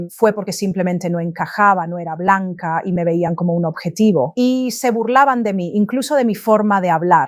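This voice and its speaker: A woman's medium-pitched voice, an ordinary speaking voice, with ordinary pitch variation and hardly any pauses, on a very clean recording with a silent background. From London, then Essex, England. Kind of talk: testimony.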